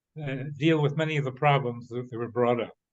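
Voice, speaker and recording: Speaking in a Midwestern accent, a man uses a fairly high pitch and fairly even intonation. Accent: American Midwestern. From US Midwest, Cincinnati, Ohio. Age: 90s. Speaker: retired professor. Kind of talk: conference discussion comment. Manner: halting, many fillers and restarts.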